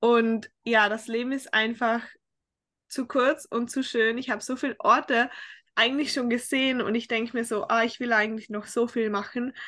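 Against a quiet background, a woman speaks at a moderate pace with monotone, flat intonation, a bright, sharp tone and a fairly high pitch. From Austria, Tyrol. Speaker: fitness coaching client. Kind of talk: casual interview. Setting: remote call across time zones.

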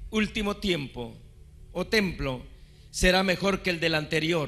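A man speaks at a high pitch with a bright, sharp tone. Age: 50s. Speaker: pastor. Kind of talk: sermon. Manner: animated.

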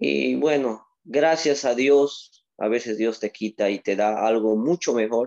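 A man speaks in a dark, mellow tone. His pace is very slow. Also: dry, close sound with no echo. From Peru, Moyobamba, San Martín (Amazon region). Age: 20s. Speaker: Olympic weightlifter. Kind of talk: interview.

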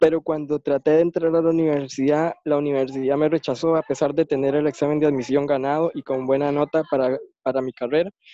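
An ordinary speaking voice at a moderate pace, with fairly even intonation and a dry, close sound with no echo. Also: man. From Costa Rica. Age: 20s. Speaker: blind interviewee. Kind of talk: interview. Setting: online call away from home.

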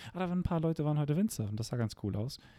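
Against a silent background in a very clean recording, the voice has a dark, mellow tone. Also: man. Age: young. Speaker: podcast co-host. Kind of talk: casual chat. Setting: holiday house.

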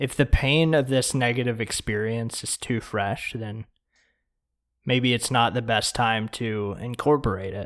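In a very clean recording with a silent background, a man with an unremarkable speaking voice talks at a fairly slow pace and medium pitch, his intonation fairly even. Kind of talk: guided meditation. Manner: slow, calm, soft-spoken, with long pauses between instructions; gentle, soothing.

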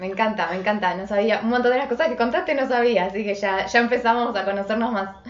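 A woman with an Argentine accent speaks very fast at a fairly high pitch, with hardly any pauses and ordinary pitch variation. Noticeable background noise is present. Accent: Rioplatense Argentine Spanish. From Argentina, Buenos Aires. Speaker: writer and Instagram live co-host. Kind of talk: casual chat. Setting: Instagram live video stream.

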